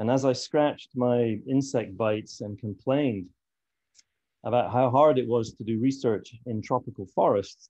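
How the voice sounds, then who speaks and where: At a moderate pace, a man speaks with a slight Scottish accent and a medium pitch. His tone is dark and mellow, with fairly even intonation. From Scotland. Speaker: fisheries conservation expert. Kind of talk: conference talk.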